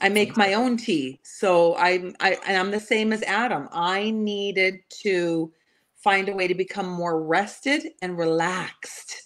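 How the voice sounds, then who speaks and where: Using an ordinary speaking voice, a woman with a Canadian accent talks at a medium pitch and a fairly slow pace with ordinary pitch variation. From Canada. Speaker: panelist. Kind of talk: casual panel chat.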